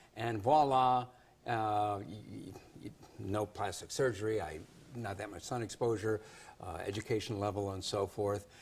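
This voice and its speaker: A man with a fairly low pitch and ordinary pitch variation speaks at a moderate pace, sounding somewhat breathy. He leaves long, frequent pauses, and the recording is very clean with a silent background. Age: 60s. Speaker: news show host. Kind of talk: TV interview.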